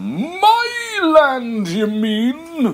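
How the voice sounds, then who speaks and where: This is a put-on character voice, pitched high. It comes out as a bellow. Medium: read story. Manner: roaring, blustering.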